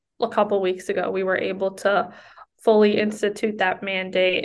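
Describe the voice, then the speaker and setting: With an American accent, a woman speaks at a moderate pace and medium pitch in a monotone, flat intonation with vocal fry. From US Northeast, Connecticut. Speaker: law student and review board chair. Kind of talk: interview.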